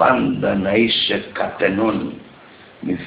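With a Pontic Greek accent, a man talks at a very slow pace over light background noise and audible room echo. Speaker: poet. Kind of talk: poetry reading. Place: home room. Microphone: earbuds.

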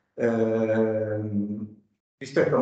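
A man in a quiet background, with audible room echo. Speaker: archaeology professor. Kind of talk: academic talk. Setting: stage with audience. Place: hall. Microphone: podium.

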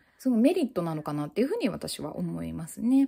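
Loud speech from a woman with a dark, mellow tone. The background is quiet. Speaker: mental health YouTuber, new mother; mental health YouTuber. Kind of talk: casual monologue. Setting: at home holding baby on balance ball. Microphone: phone near.

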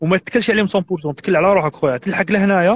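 This man talks at a fairly quick pace in a high pitch, with lively intonation. The sound is dry, with no echo. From Algeria. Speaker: immigrant sharing advice; guest. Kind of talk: casual interview. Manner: animated.

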